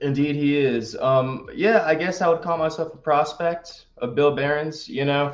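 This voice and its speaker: A man with an American accent speaks in an unremarkable speaking voice at a fairly high pitch. His pace is moderate, with hardly any pauses. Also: ordinary pitch variation. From North Carolina. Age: young. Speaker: pro wrestler. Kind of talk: casual chat.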